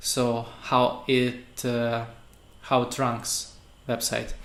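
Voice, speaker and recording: A man with a Russian accent speaks at medium pitch, with audible room echo. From Russia, Saint Petersburg. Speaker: web developer. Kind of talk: tutorial. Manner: halting, many fillers.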